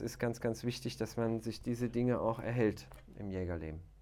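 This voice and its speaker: This man has an ordinary speaking voice, medium in pitch, with ordinary pitch variation and a fairly quick pace. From Aachen, western Germany. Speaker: hunter and video show presenter. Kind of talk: casual chat. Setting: studio.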